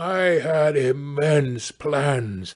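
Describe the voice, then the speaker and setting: Using a put-on character voice, a man speaks at a fairly high pitch, his resonant voice showing ordinary pitch variation. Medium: read story. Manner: grandiose yet weary.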